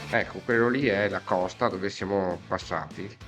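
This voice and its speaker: The voice moves through very wide pitch swings with music in the background. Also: man. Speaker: urban explorer. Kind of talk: casual outdoor vlog narration. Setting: outdoors.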